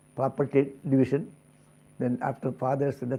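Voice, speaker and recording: A man with an Indian accent speaks at a moderate pace. His voice sits at a medium pitch, with a dark, mellow tone. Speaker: spiritual teacher. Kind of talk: spiritual discourse.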